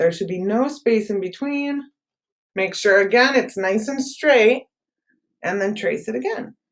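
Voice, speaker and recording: Speaking in a normal speaking voice, a woman talks fairly slowly at a fairly high pitch with lively intonation. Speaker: art teacher. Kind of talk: tutorial.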